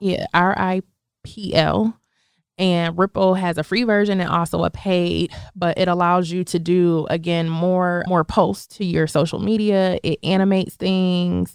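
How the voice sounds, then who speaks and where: A woman speaks at a moderate pace with a fairly low pitch and monotone, flat intonation. The recording is very clean, dry and close, with a silent background and no echo. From Buffalo, New York. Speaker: financial services business owner. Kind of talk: interview.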